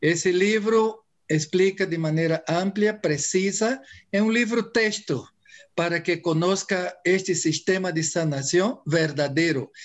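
Speaking with a Portuguese accent, a man uses a high pitch with ordinary pitch variation. His pace is very slow. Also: very even loudness. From Brazil. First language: Portuguese (speaking Spanish). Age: 70s. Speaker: Ayurveda doctor. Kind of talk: interview.

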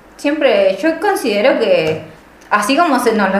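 Against noticeable background noise and audible room echo, a woman is talking. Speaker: podcast co-host, art student. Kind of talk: casual chat.

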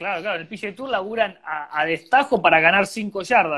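This man speaks at a fairly quick pace with a high pitch and ordinary pitch variation. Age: 30s. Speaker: golf radio host. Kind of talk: casual interview. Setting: radio studio.

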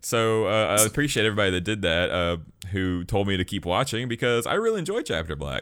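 Talking very fast in a Southern US accent, a man with a fairly low pitch uses ordinary pitch variation and an animated tone on a very clean recording with a silent background. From Alabama. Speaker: podcast host. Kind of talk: casual chat. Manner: joking, animated.

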